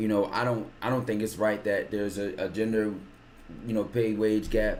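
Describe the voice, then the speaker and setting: There is audible room echo around this man's voice. He talks at a fairly low pitch and a fairly quick pace. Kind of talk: casual chat. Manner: fast.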